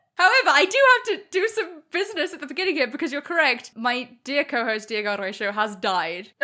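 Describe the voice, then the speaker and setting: A woman's raised, projected voice, high and bright, sharp in tone, fairly quick, with very wide pitch swings. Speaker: podcast host. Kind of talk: casual chat. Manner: gets much louder when excited.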